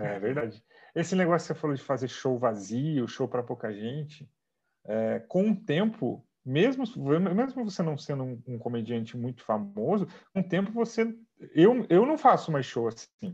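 Fairly high-pitched, somewhat breathy male voice at a moderate pace, with very wide pitch swings. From Brazil, Sorocaba (São Paulo state). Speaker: comedian. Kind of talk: casual interview chat.

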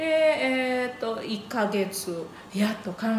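A woman with an Indonesian accent and ordinary pitch variation, amid audible room echo and noticeable background noise. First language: Indonesian (speaking Japanese). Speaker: YouTube channel host, Japanese teacher. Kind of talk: casual interview chat.

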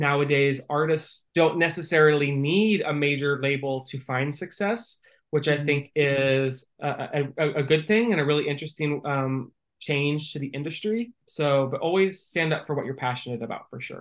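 Speaking with an American accent at a moderate pace with hardly any pauses, a man uses a plain, everyday voice, fairly high in pitch with ordinary pitch variation. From Northern California. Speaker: music marketing executive. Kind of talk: interview.

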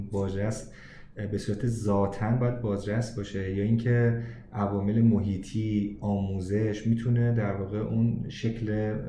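Heard with audible room echo, a man speaks fairly slowly in a fairly low, monotone voice with flat intonation. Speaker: podcast host. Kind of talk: interview. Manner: formal.

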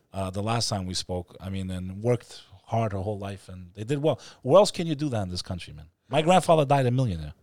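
On a very clean recording with a silent background, a man with a New York accent speaks at a very fast pace and a fairly low pitch, with very wide pitch swings and big swings in loudness. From New York City. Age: 30s. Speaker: podcast host. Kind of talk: casual chat. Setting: studio.

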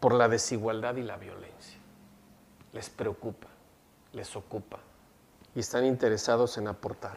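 A man of medium pitch talks fairly slowly. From Mexico, Jalisco. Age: 50s. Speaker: electoral institute official. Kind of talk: interview.

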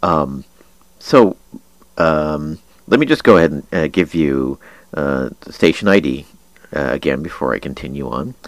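A man's very deep, low voice with vocal fry, ordinary pitch variation and a fairly slow pace. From Kansas. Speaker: internet radio host. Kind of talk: casual monologue. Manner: hesitant, many fillers.

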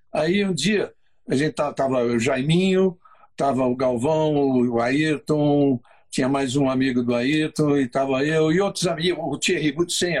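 A man with a normal speaking voice, fairly high pitch and ordinary pitch variation, at a moderate pace. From Brazil. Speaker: motorsport co-host. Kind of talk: casual chat.

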